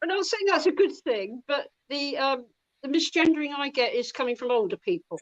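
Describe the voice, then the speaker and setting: A woman's high, fairly quick voice with very wide pitch swings, dry and close with no echo. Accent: English. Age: 60s. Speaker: comic artist. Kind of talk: casual chat.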